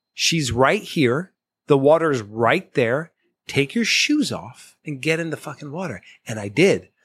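An ordinary speaking voice from a man, fairly high in pitch, at a fairly slow pace, with lively intonation and big swings in loudness. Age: 40s. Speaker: podcast guest, former program participant. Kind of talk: casual chat. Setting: in-person studio recording in Boston.

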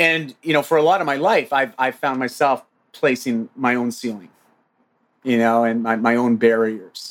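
On a very clean recording with a silent background, a man with a Canadian accent talks at a moderate pace, his medium pitch showing ordinary variation. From Ontario, Canada. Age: 40s. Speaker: fitness coach and men's group co-founder. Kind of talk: casual interview chat. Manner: animated.

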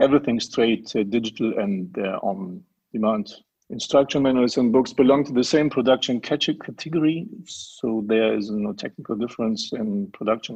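A man with a German accent speaks at a moderate pace. His pitch is medium, with ordinary variation. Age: 40s. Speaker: print company managing director. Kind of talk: interview. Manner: halting, many fillers.

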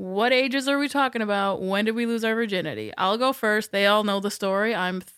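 An unremarkable speaking voice from a woman, fairly high in pitch with ordinary variation, at a fairly quick pace with hardly any pauses and big swings in loudness, on a very clean recording with a silent background. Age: 30s. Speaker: podcast host. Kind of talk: casual chat. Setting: studio.

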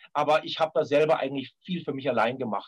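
A man talks at a fairly quick clip in an ordinary speaking voice. His pitch is fairly high. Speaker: film composer and violinist. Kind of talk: interview.

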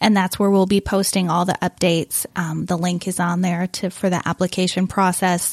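In an American accent, a woman speaks at a medium pitch and a moderate pace, with hardly any pauses, very even loudness and flat, monotone intonation. The recording is very clean, with a silent background and a dry, close sound with no echo. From Wisconsin. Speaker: missions coordinator. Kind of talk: casual interview chat.

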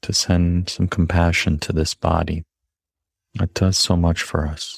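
A man's very deep, low, somewhat breathy voice, gentle in tone, with a dry, close sound and no echo. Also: very clean recording, silent background. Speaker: meditation teacher. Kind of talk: guided meditation, slow body scan with gentle invitations. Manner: slow, unhurried pacing with long pauses between prompts; soft, gentle and invitational.

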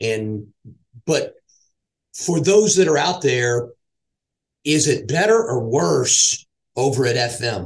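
A man's medium-pitched, somewhat breathy voice with lively intonation. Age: middle-aged. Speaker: podcast host and sales executive. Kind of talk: casual interview; scripted intro. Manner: halting, with fillers.

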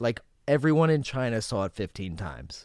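Moderate-paced speech in an American accent. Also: man. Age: 40s. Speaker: comedian. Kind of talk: casual chat.

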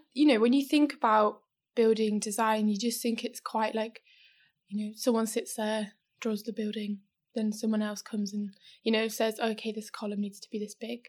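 A woman's fairly high voice with a British accent and monotone, flat intonation in a very clean recording with a silent background. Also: moderate pace. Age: 20s. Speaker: electrical engineer. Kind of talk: interview.

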